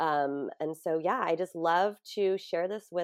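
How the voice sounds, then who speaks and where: A woman's fairly low voice in a Californian accent, fairly slow and fairly even in intonation, with a dry, close sound with no echo and a quiet background. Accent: Californian American. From US West Coast (San Diego). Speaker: grief coach and yoga teacher. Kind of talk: interview.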